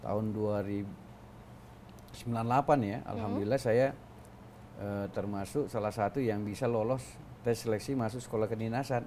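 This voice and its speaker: Over light background noise, a man speaks at a fairly slow pace with fairly even intonation. His voice is fairly low in pitch, with a dark, mellow tone. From South Sulawesi, Bone regency (Bugis); South Sulawesi. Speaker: senior government official; interviewee. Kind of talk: interview. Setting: office with open windows. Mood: relaxed, reminiscing. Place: studio. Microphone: lapel.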